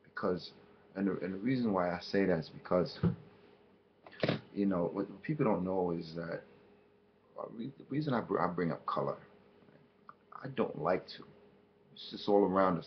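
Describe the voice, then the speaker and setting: With big swings in loudness and long, frequent pauses, a man speaks at a moderate pace and a fairly low pitch with ordinary pitch variation. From United States. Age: 40s. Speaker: cultural commentator. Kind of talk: video commentary monologue. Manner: halting, many fillers and restarts.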